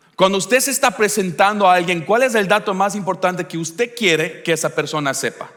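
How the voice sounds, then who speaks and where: Pitched high, a man speaks in an animated tone with ordinary pitch variation. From Ecuador. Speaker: pastor. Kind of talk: sermon. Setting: church service with congregation.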